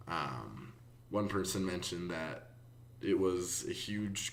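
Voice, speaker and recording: Audible room echo surrounds a man's very deep, low voice with ordinary pitch variation. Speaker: student. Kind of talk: class discussion summary. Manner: hesitant, many fillers.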